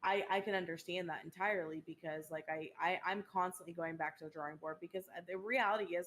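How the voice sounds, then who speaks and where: A woman talks at a very fast pace. Her pitch is fairly low and her intonation fairly even. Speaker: streamer and podcast co-host. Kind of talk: casual chat. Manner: loud.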